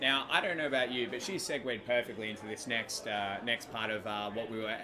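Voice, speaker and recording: Over noticeable background noise, a man with an Australian accent talks at a very fast pace and a medium pitch. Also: hardly any pauses. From Western Australia (Perth). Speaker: laser tag player, panel host. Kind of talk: casual interview chat. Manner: halting, many fillers.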